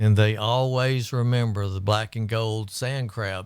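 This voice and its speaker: Recorded very cleanly with a silent background, a man speaks at fairly low pitch and a fairly slow pace. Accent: Texan. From Texas Gulf Coast, Port Lavaca. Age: 60s. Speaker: community volunteer. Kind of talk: casual interview.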